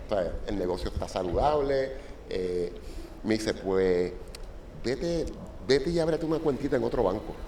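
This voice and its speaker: A man's medium-pitched voice with a Puerto Rican accent, very wide pitch swings, a moderate pace and long, frequent pauses, amid audible room echo and noticeable background noise. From Puerto Rico. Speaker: software company founder. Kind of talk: interview storytelling. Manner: halting, many fillers.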